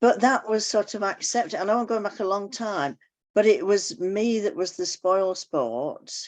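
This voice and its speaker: At a medium pitch, a woman speaks with ordinary pitch variation. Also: moderate pace, quiet background. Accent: English. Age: 80s+. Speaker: club member. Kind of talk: casual chat.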